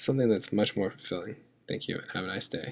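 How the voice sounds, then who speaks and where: At a very fast pace, a man speaks. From southeastern Virginia (Tidewater). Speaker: military veteran, language student. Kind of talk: scripted narration.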